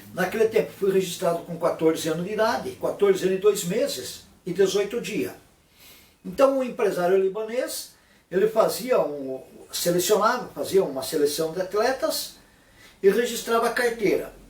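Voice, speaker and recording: A man with a high pitch talks at a moderate pace. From Brazil, Paraná (Curitiba area). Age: 60s. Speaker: former football player. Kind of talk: casual vlog monologue. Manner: informal, repetitive.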